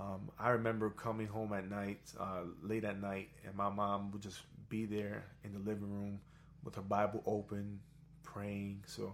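A man with an American accent speaks at a fairly low pitch. His intonation is monotone and flat. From New York. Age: 30s. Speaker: guest, singer and student. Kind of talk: casual interview chat.

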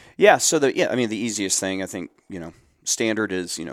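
A man with a Midwestern American accent speaks at a fairly quick pace in a fairly low pitch, on a very clean recording with a silent background. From Central Ohio. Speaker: nonprofit program director. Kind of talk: podcast interview.

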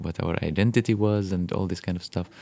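On a very clean recording with a silent background, a man with an Arabic accent speaks with fairly even intonation. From Golan Heights. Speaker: musician. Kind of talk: interview. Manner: halting.

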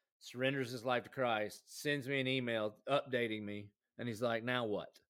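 A man's medium-pitched voice in a Southern US accent, fairly quick, with fairly even intonation. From South Carolina. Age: 40s. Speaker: pastor. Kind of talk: casual chat.

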